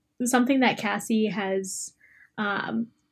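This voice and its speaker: Her voice is somewhat breathy and fairly high in pitch. The woman speaks with lively intonation. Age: 20s. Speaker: host's best friend. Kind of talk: casual chat. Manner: animated.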